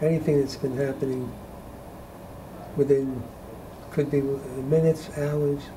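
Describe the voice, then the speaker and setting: Over noticeable background noise, a man with a fairly high pitch talks at a fairly slow pace in a flat monotone, leaving long, frequent pauses. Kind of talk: deposition testimony.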